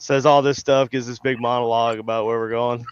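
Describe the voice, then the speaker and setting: A man with a South Carolina accent talks at medium pitch in a monotone, flat intonation. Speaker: paranormal investigator. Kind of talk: casual chat.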